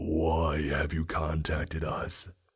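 Using a put-on character voice, a man speaks raspy and monotone, with flat intonation and a very deep, low pitch. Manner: unsettling.

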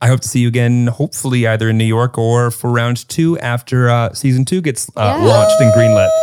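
A man with an American accent and an ordinary speaking voice, medium pitch, fairly even intonation, a fairly quick pace and hardly any pauses. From Chicago area. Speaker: podcast co-host. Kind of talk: casual chat.

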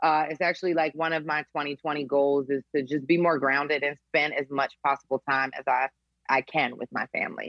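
Monotone, flat intonation in an American accent. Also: woman, very deep, low pitch for a woman, moderate pace. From Philadelphia. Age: 30s. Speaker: nurse turned business coach and speaker. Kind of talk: interview conversation.

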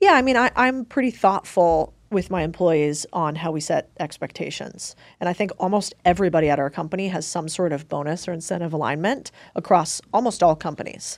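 A woman's unremarkable speaking voice, fairly low in pitch, at a fairly quick pace with lively intonation. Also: very clean recording, silent background. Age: 30s. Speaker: investor and entrepreneur. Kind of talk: casual chat.

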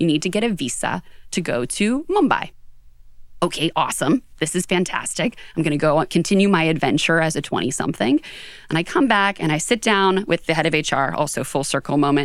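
A woman with an unremarkable speaking voice, fairly low pitch, lively intonation, fairly quick pace and very even loudness, on a very clean recording with a silent background. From Western Pennsylvania, outside Pittsburgh. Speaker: HR executive and author. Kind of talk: interview. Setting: studio.

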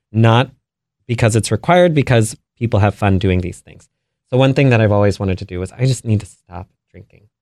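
A man with an American accent uses a normal speaking voice at a medium pitch and a fairly quick pace, with ordinary pitch variation. The recording is very clean, with a silent background and a dry, close sound with no echo. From Maryland, US. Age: 30s. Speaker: business founder. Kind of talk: interview.

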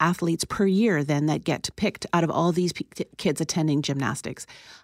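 With an ordinary speaking voice, a woman speaks at a fairly low pitch in a very clean recording with a silent background. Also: dry, close sound with no echo. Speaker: psychologist. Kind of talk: interview.

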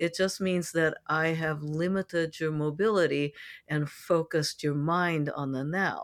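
In an unremarkable speaking voice with an American accent, a woman speaks at a fairly low pitch and a fairly slow pace. Her intonation is fairly even, and the recording is very clean with a silent background. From San Francisco, US. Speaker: sex educator and coach. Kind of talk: interview, expert advice.

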